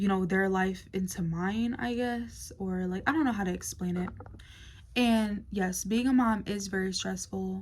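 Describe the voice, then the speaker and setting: Audible room echo surrounds a woman speaking at a medium pitch and a fairly slow pace, somewhat breathy, with ordinary pitch variation. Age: 20s. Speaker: vlogger. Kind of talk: casual talk to camera. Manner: hesitant, many fillers.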